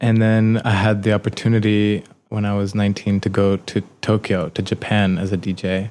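On a very clean recording with a silent background, a man with a New York accent speaks at a moderate pace in a fairly low, monotone, flat voice. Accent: New York American. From New York City (Manhattan). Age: 30s. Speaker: DJ and artist. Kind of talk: casual interview. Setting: recording studio. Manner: hesitant, with many fillers.

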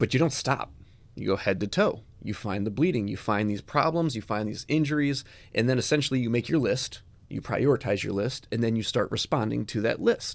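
Here a man talks at a fairly quick pace with an American accent, medium pitch and ordinary pitch variation, in an ordinary speaking voice. The recording is very clean, with a silent background. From Chicago, US Midwest. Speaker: EMS podcast host, paramedic educator. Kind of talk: casual instructional interview.

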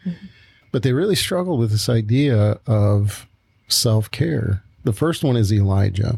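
Fairly slow and at medium pitch, a man talks with lively intonation, a dark, mellow tone, slight breathiness and very even loudness. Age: 60s. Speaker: pastor and podcast co-host. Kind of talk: casual chat.

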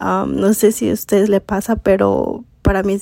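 A woman is heard here. The sound is dry and close, with no echo. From US Midwest (Elkhart, Indiana; Mexican family). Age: 20s. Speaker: podcast host and mindset coach. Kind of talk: casual monologue.

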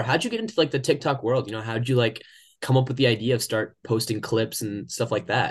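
A man at medium pitch, somewhat breathy and very fast, against a quiet background. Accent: American. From Oklahoma, US. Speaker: podcast host. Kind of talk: casual interview chat.

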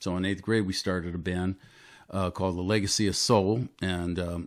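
At a moderate pace, a man with an American accent talks in a very deep, low voice on a very clean recording with a silent background. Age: 60s. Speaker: musician and actor. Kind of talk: casual chat.

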